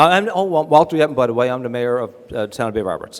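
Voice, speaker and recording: A man with a Newfoundland accent talks at a very fast pace with lively intonation. There is noticeable background noise. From Newfoundland, Canada. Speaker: town mayor. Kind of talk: awards ceremony speech.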